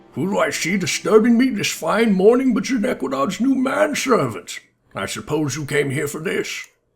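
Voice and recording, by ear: A man speaks in a put-on character voice, high-pitched for a man, with very wide pitch swings. His pace is moderate, and music plays in the background.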